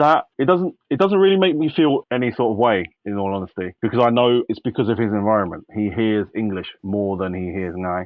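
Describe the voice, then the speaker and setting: With a normal speaking voice, a man talks at a fairly quick pace with lively intonation and hardly any pauses. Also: medium pitch for a man. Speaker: father. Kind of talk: interview answer.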